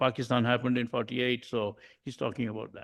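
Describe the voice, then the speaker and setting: A man with a Bengali accent speaks at a very fast pace. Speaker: humanist society member sharing music. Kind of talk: informal presentation to a group.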